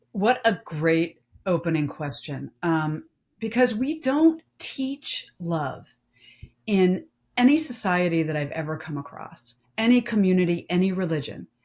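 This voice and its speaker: A somewhat breathy woman's voice at a medium pitch, fairly slow, with very wide pitch swings. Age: 50s. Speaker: domestic violence survivor and author. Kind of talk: panel discussion.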